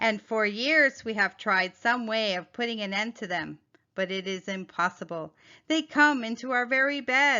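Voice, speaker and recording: A woman puts on a character voice, pitched fairly high. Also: moderate pace. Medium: read story. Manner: gracious.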